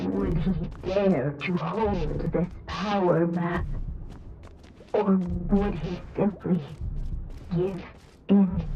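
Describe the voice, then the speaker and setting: A put-on character voice, female-sounding and fairly low, at a very slow pace with long, frequent pauses over clear background noise. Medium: video game. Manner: repetitive, ominous.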